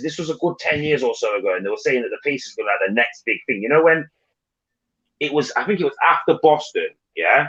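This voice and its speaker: A man with a Nottingham accent talks at a very fast pace. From England, East Midlands (Nottingham). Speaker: panel participant in live stream. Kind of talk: casual chat.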